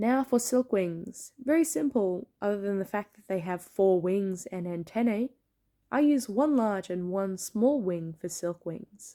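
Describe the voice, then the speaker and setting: In an Australian accent, a woman with a medium pitch and a dark, mellow tone talks at a fairly slow pace with lively intonation and big swings in loudness, on a very clean recording with a silent background. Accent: mild Australian. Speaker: plushie maker and content creator. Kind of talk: tutorial. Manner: clear enunciation.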